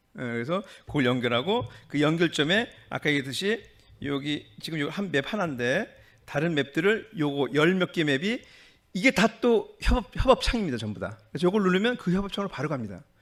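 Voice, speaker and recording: A man at a fairly high pitch, fairly quick in pace, with very wide pitch swings. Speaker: doctor and hospital director. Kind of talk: conference presentation. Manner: fast; halting.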